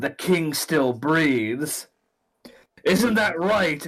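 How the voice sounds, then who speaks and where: In a put-on character voice, a man speaks at a very slow pace with a fairly high pitch. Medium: actual play. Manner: blunt, scornful.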